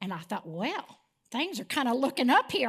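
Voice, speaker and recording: A woman with an American accent speaks at a moderate pace in a high, bright, sharp tone with very wide pitch swings. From West Texas (Midland), later Arizona. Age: 60s. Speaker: church member giving testimony. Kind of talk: testimony. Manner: casual, storytelling.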